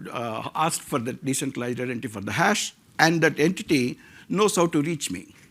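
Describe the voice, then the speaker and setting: Vocal fry runs through a bright, sharp tone delivered at a fairly quick pace with lively intonation, in a very clean recording with a silent background. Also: man. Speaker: tech founder. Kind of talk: conference talk.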